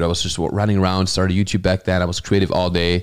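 In a German accent, a man speaks at a very deep, low pitch with monotone, flat intonation on a very clean recording with a silent background. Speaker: comedian. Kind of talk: casual chat. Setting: studio.

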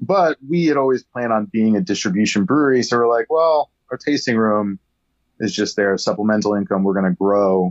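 A man with an American accent, medium pitch, and an ordinary speaking voice, lively in intonation, fairly quick, and very even in loudness. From upstate New York. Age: 40s. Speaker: brewery owner. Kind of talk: casual chat. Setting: remote call.

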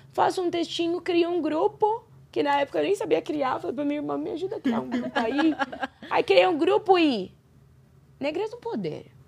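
A woman's high voice with very wide pitch swings at a moderate pace, over noticeable background noise. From Brazil. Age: 30s. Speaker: podcast guest. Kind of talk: casual interview.

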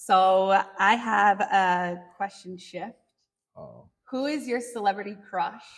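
The woman speaks loudly and very slowly at a medium pitch, with ordinary pitch variation. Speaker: podcast host. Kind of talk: interview. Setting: instagram live stream.

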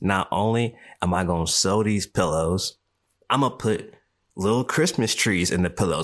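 A man's fairly low-pitched, animated voice with lively intonation at a moderate pace. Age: 30s. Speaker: podcast host. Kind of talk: solo monologue podcast.

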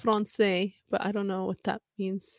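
A woman talks fairly slowly on a very clean recording with a silent background. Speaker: fan podcast host. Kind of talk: casual solo podcast reading fan comments. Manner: casual, frequent laughs and fillers.

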